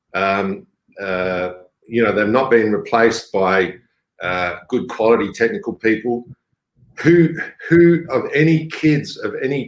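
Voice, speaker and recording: At a moderate pace, a man with a medium-pitched voice speaks with lively intonation. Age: 60s. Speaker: mining executive. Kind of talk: panel discussion. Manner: blunt.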